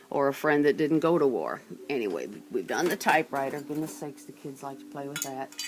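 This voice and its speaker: Noticeable background noise behind a fairly quick pace. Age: old. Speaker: museum owner and guide. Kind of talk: guided museum tour.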